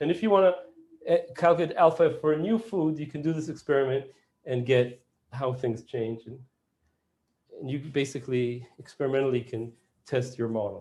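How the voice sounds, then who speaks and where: In a dark, mellow, somewhat breathy tone, a man talks at a fairly quick pace with a fairly high pitch and ordinary pitch variation. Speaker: professor. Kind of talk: lecture. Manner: fast.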